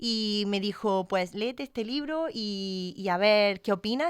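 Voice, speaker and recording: A woman's medium-pitched voice with ordinary pitch variation comes through dry and close with no echo, on a very clean recording with a silent background. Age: 30s. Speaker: postdoctoral researcher, pharmacist. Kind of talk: casual podcast interview. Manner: hesitant, many fillers.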